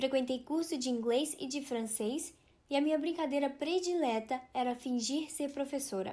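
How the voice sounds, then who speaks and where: A woman's high voice, dark and mellow in tone, moves at a moderate pace with ordinary pitch variation. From Brazil, interior of Rio de Janeiro state. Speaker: Japanese language teacher. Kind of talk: personal storytelling.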